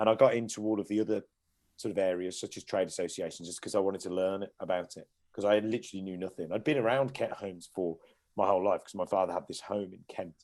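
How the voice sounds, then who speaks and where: In a very clean recording with a silent background, a man with a Midlands accent talks very fast at a fairly low pitch, his intonation fairly even but his loudness swinging widely. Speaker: care home company director. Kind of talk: podcast interview.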